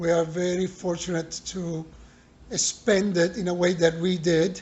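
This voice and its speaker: Here a man talks at a fairly slow pace. His pitch is high. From Italy. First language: Italian. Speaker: bar owner. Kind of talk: interview. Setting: in a bar.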